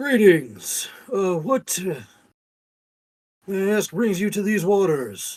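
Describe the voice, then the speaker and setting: A put-on, booming character voice at a middle pitch, fairly slow, with long, frequent pauses. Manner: formal, polite greeting.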